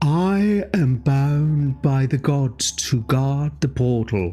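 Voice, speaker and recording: A put-on character voice, low-to-middle in pitch, delivered at a very slow pace. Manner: calm, powerful, solemn.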